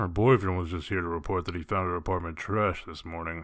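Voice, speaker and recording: A man puts on a character voice with a very deep, low pitch and a very fast pace. The recording is very clean, with a silent background. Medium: audio drama. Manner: blunt, terse, businesslike.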